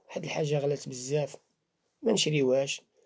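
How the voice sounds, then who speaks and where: With a Moroccan accent, a man speaks at a fairly quick pace in a dark, mellow tone with a fairly high pitch. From Morocco. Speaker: Islamic faith healer. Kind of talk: religious talk to camera.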